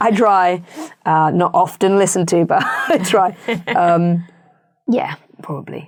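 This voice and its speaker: A woman in a British accent at a fairly slow pace, with long, frequent pauses and ordinary pitch variation. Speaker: actress and voice actor. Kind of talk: interview chat.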